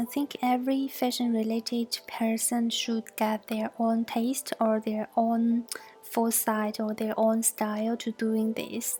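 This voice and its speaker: A woman with a Mandarin accent talks at a fairly slow pace in a fairly high, flat monotone with hardly any pauses, over noticeable background noise. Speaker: fashion student and designer. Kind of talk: class presentation.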